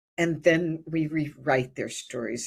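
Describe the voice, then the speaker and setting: Speaking in an American accent, a woman talks at a very deep, low pitch on a very clean recording with a silent background. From US Midwest (rural Ohio). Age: 70s. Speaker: birth and hypnosis retreat leader. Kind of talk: life story interview. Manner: halting, frequent fillers and repetitions.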